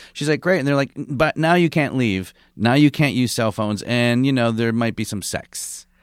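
Speaking with hardly any pauses, a man uses an unremarkable speaking voice at medium pitch, moderate pace and ordinary pitch variation. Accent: American. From Michigan, US Midwest. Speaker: comedian. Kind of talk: casual chat.

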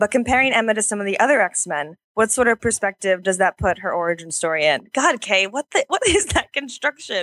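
A woman's plain, everyday voice, fairly high and fairly quick, with lively intonation and a dry, close sound with no echo. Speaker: comics site editor. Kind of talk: casual chat.

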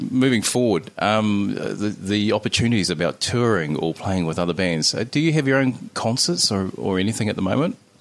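A fairly quick, lively delivery in a New Zealand accent, with hardly any pauses. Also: man. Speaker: podcast host. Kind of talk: casual chat. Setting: home recording studio.

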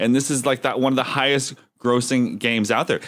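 With an American accent and an unremarkable speaking voice, a man talks at a fairly quick pace and medium pitch on a very clean recording with a silent background. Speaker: podcast host. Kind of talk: casual chat.

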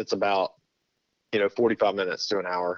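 The voice has a Texan accent. The sound is dry and close, with no echo. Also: man. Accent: Texan Southern US. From Texas. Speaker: pastor. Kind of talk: casual interview. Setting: phone call.

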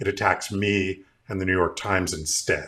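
The recording is very clean, its background silent. A man's tone comes across bright and sharp. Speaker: author and filmmaker. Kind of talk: casual panel discussion.

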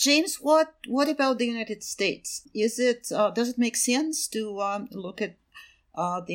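A woman with a Russian accent speaks with lively intonation. The recording is very clean, with a silent background. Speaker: podcast host, research program associate. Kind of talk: interview.

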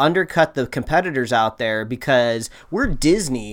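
In a very clean recording with a silent background, a man with an unremarkable speaking voice talks at a fairly high pitch with lively intonation. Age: 20s. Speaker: podcast co-host. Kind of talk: casual chat.

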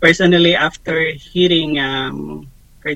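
A man with a Filipino accent, fairly high pitch, monotone, flat intonation and a fairly slow pace. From Philippines. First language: Tagalog. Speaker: ministry staff member. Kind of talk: interview podcast.

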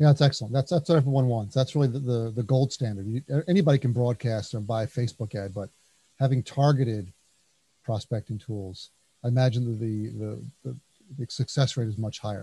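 With a New Jersey accent, this speaker talks at a fairly quick pace in a dark, mellow, somewhat breathy tone with ordinary pitch variation, the sound dry and close with no echo. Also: man, medium pitch for a man. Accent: New Jersey American. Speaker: podcast host, consultancy founder. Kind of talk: interview.

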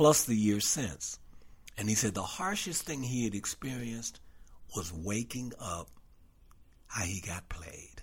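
On a very clean recording with a silent background, a man speaks at a fairly low pitch. His voice is somewhat breathy, with long, frequent pauses. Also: fairly slow pace. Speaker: podcast co-host. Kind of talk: casual political discussion.

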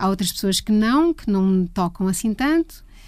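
On a very clean recording with a silent background, a woman's fairly high, somewhat breathy voice carries a dark, mellow tone at a moderate pace. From Portugal, Leiria. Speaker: music photographer. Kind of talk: interview conversation.

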